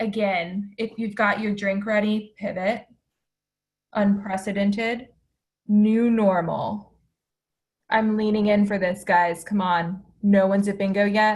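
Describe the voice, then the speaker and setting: A woman talks at a medium pitch and a fairly slow pace, with long, frequent pauses. Her delivery is monotone and flat, and somewhat breathy. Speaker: presenter on downtown community spaces. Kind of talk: virtual conference presentation. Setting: video call.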